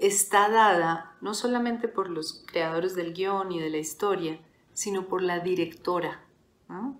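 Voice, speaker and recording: A woman with a medium pitch speaks at a very slow pace with ordinary pitch variation. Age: 40s. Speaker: podcast host. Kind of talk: solo reflective monologue.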